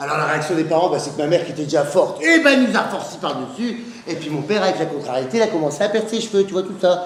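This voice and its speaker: Very fast, high-pitched man with lively intonation over noticeable background noise. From Northern France. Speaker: comedian. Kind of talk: stand-up comedy routine.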